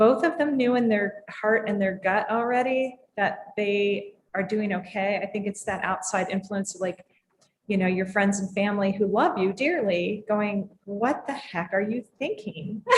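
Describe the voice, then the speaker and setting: A woman speaks at a fairly slow pace in a somewhat breathy voice, her pitch rising and falling in an ordinary way. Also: medium pitch for a woman. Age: 60s. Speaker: drinks industry leader. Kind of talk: casual chat.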